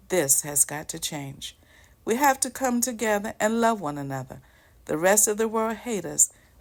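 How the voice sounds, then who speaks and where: A woman talks at a moderate pace in a medium pitch. Her pitch swings very widely, on a very clean recording with a silent background. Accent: American. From US South, South Carolina. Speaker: channel host, commentator. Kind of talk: prepared monologue. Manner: formal.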